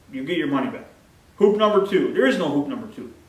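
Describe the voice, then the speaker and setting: A man's high pitch in very wide swings, with audible room echo and noticeable background noise. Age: 50s. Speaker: plant nursery owner. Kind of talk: sales pitch. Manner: casual, repetitive.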